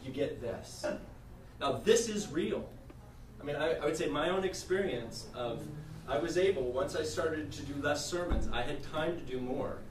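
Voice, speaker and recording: This man's voice sits fairly high in pitch. Noticeable background noise and audible room echo accompany him. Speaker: minister and denominational staff leader. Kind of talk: workshop presentation. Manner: fast.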